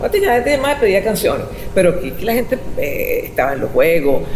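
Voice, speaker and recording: A woman talks at a very fast pace. Noticeable background noise runs beneath her. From Venezuela. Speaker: radio host and journalist. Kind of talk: interview answer.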